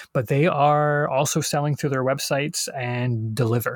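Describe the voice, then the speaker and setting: With a silent background and a very clean recording, a man talks in a somewhat breathy voice. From England-born, British family. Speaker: board game designer. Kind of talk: interview. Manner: halting with many fillers.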